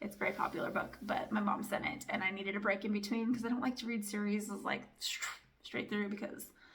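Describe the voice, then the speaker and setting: A woman's fairly high voice at a fairly quick pace, with audible room echo. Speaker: family vlogger and book reviewer. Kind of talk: casual book review chat. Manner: fast; animated.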